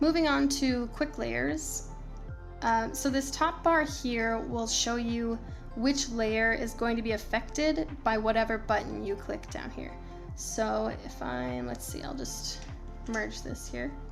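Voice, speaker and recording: Music plays in the background. A woman talks at a very slow pace. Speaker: photographer and retoucher. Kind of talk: screen-recorded software tutorial. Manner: casual.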